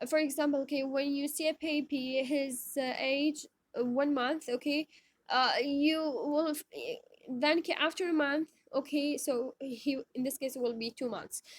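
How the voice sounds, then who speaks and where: Her pitch is high, with ordinary variation. The woman talks at a moderate pace in a dry, close sound with no echo. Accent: Iraqi. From Iraq. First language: Arabic. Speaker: teacher. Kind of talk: lecture. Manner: halting, many fillers.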